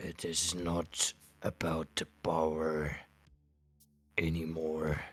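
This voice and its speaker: A man's put-on character voice, monotone and flat, very deep and low, at a very slow pace with long, frequent pauses. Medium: actual play. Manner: halting, earnest, slightly formal.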